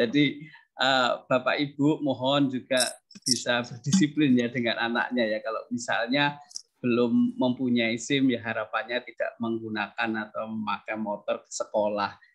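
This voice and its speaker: A man speaks with fairly even intonation at a moderate pace, and the background is quiet. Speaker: teacher, task force head; teacher. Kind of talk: answering parents' questions. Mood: friendly, smiling. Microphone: unstable connection; video call.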